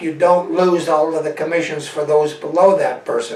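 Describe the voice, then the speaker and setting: Through noticeable background noise, a man speaks at a high pitch with fairly even intonation. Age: 70s. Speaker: network marketing salesman. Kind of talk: sales pitch.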